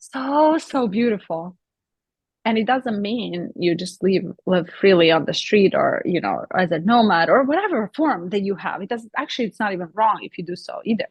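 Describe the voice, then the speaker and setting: A woman's somewhat breathy voice sits fairly high in pitch, moving at a moderate pace with very wide pitch swings. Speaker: spiritual discussion co-host. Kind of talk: casual spiritual conversation.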